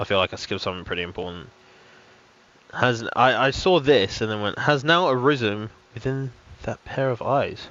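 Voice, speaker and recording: A man with a British accent speaks at a medium pitch and a moderate pace, with lively intonation. He leaves long, frequent pauses. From United Kingdom. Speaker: game streamer. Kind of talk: casual live-stream commentary. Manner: animated.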